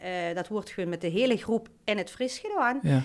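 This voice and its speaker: On a very clean recording with a silent background, a woman with a plain, everyday voice speaks at a fairly quick pace with ordinary pitch variation. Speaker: childcare location manager. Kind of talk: podcast interview answer.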